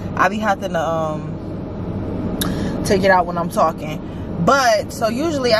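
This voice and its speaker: A woman speaks with ordinary pitch variation. The sound is dry with no echo, but loud background noise is present. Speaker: vlogger. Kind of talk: casual vlog chat. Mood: cheerful, laughing. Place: car. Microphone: camera far.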